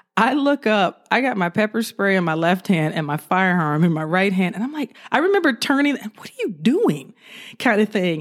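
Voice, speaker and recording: Moderately paced and marked by very wide pitch swings, a woman speaks with an American accent on a very clean recording with a silent background. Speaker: retired police officer. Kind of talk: casual interview, storytelling.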